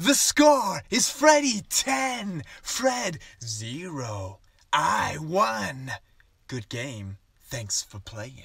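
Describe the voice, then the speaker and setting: In a put-on character voice, a man talks at a very slow pace with a fairly high pitch. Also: big swings in loudness. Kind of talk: comedy sketch acting. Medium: comedy sketch. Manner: smug. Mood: smug.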